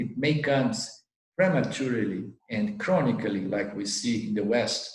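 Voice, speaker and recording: A man speaks at a medium pitch and a fairly slow pace, his somewhat breathy voice carrying lively intonation. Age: 60s. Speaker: spiritual teacher. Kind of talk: Q&A talk. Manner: halting.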